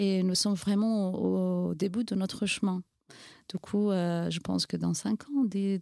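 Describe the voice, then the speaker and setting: A woman with a Kurdish accent speaks at a very slow pace with very even loudness. The sound is dry and close, with no echo. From Iranian Kurdistan. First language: Kurdish (speaking French). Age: 40s. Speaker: NGO founder and women's rights activist. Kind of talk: interview testimony. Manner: hesitant, frequent fillers.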